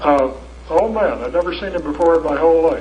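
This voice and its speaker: A man talks at a fairly quick pace with an American accent. There is audible room echo and noticeable background noise. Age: 70s. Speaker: lecturer. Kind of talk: lecture. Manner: animated.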